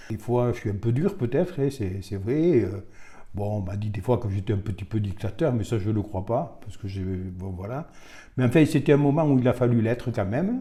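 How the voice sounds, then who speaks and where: Dark, mellow tone from a man, medium in pitch and somewhat breathy. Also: lively intonation, moderate pace. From Bigorre, southwestern France. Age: 70s. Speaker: retired rugby official. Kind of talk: interview monologue. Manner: hesitant, many fillers.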